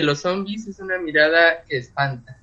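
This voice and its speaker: Using an unremarkable speaking voice, a man with a fairly high pitch speaks at a fairly slow pace with ordinary pitch variation. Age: 30s. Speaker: literature doctoral student and author. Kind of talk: casual chat.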